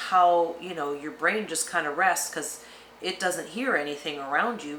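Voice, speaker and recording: A woman at a fairly low pitch and moderate pace with lively intonation, amid noticeable background noise and audible room echo. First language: Spanish. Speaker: retirement travel vlogger. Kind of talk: casual chat.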